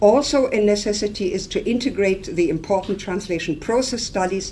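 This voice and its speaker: Here a woman speaks at a fairly quick pace with a dark, mellow tone and lively intonation, and the room echo is audible. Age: 60s. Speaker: professor. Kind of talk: lecture.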